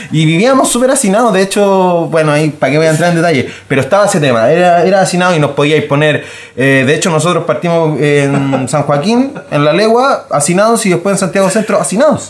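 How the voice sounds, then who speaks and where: In a Chilean accent, a man with a high pitch and lively intonation speaks very fast at very even loudness, with audible room echo. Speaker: podcast co-host. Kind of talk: casual chat.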